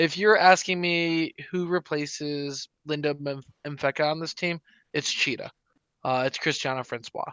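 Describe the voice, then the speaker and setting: In a bright, sharp tone, a man speaks fairly slowly at a fairly high pitch with fairly even intonation. The sound is dry and close with no echo, over a quiet background. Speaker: soccer podcast co-host. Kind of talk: casual sports chat. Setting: live stream.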